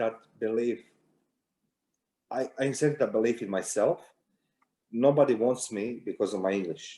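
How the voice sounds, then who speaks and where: With a Croatian accent, a man speaks at a moderate pace in a dark, mellow tone, using ordinary pitch variation and long, frequent pauses. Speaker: security intelligence consultant, war veteran. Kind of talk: interview.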